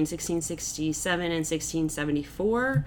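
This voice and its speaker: A woman talks in a fairly low voice with ordinary pitch variation. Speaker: English instructor, podcast co-host. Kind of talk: casual chat. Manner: animated.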